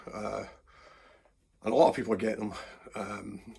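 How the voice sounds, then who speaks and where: A man with a Glaswegian accent, fairly low-pitched, with vocal fry, at a moderate pace. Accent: Glaswegian Scottish. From Scotland. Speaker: guitarist. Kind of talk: casual guitar review talk to camera.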